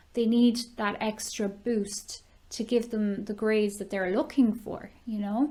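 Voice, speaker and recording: Somewhat breathy and with a dark, mellow tone, a woman speaks at a fairly high pitch and fairly slow pace with fairly even intonation. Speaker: online ESL teacher. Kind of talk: casual talk to camera.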